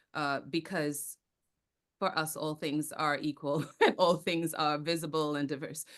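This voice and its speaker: Over a quiet background, a woman with a Caribbean accent talks at a fairly slow pace in a very deep, low pitch with monotone, flat intonation. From Trinidad and Tobago. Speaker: actor, theater company founder and speaking coach. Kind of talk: podcast interview.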